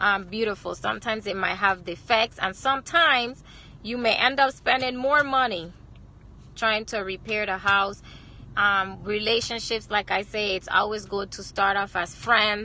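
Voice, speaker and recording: With a Virgin Islands accent, a woman talks at a moderate pace in a fairly high voice, her tone bright and sharp and her pitch variation ordinary. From US Virgin Islands, Saint Croix. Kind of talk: inspirational livestream talk. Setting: live video stream, lunch break. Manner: hesitant, many fillers.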